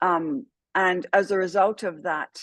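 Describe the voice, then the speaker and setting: A woman speaks with an English accent. The sound is dry and close with no echo, over a quiet background. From England. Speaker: trauma care trainer, former police officer. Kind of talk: podcast interview. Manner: hesitant with many fillers.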